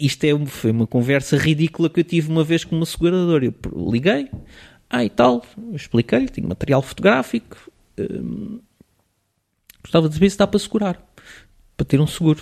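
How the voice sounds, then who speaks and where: A man with a fairly high pitch talks at a fairly quick pace with lively intonation. His long, frequent pauses sit in a dry, close sound with no echo. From Portugal, raised partly in Switzerland until age 10. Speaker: photographer. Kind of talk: casual interview.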